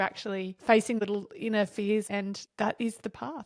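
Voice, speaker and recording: Here a woman with an Australian accent has a fairly high pitch and a monotone, flat intonation. The sound is dry and close with no echo, in a very clean recording with a silent background. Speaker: podcast host, dance teacher. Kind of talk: interview podcast.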